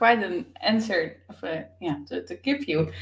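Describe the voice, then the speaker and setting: Very wide pitch swings from a fairly high-pitched woman, at a fairly slow pace, with noticeable background noise. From Netherlands. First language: Dutch. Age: young. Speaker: author and business coach. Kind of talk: interview. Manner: hesitant, many fillers.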